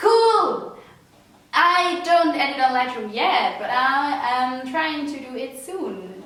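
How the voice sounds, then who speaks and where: Over noticeable background noise, a woman with a Swiss accent speaks at a very slow pace in a high pitch, with very wide pitch swings and big swings in loudness. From Switzerland. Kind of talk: casual talk to camera.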